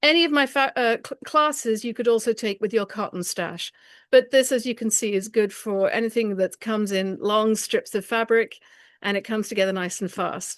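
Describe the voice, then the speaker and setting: A woman with an English accent speaks at a fairly high pitch. The sound is dry and close with no echo, and the background is quiet. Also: ordinary pitch variation, moderate pace. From England. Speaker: quilting teacher. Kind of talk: presentation with slideshow.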